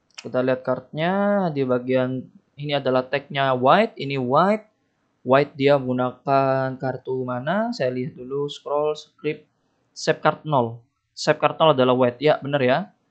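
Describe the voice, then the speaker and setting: The pace is moderate, and the pitch varies in an ordinary way. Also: man, quiet background. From Indonesia. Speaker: game development tutorial youtuber; game development tutor. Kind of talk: screen-recorded coding tutorial; tutorial. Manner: casual, thinking aloud with fillers. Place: home room.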